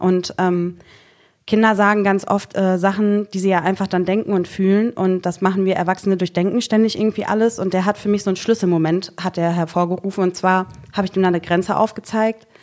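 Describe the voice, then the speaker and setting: A normal speaking voice from a woman, medium in pitch, at a fairly quick pace with fairly even intonation, on a very clean recording with a silent background. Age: 30s. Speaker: social worker. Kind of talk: casual chat.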